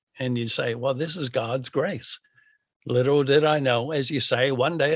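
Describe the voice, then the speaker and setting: With an American accent, a man with a normal speaking voice talks at a moderate pace with ordinary pitch variation. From US. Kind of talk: interview conversation. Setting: at home, remote recording.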